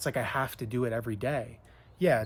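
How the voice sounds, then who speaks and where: A man with a somewhat breathy, medium-pitched voice talks fairly quickly with ordinary pitch variation. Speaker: spiritual coach and author. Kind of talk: casual reflective talk to camera about spiritual awakening. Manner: reflective, conversational, with hesitations and fillers.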